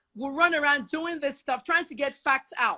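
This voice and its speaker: A woman with a high, bright, sharp voice speaks in an animated tone. Her voice is raised and projected, at a moderate pace. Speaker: investigative journalist. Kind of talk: heated discussion. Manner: loud.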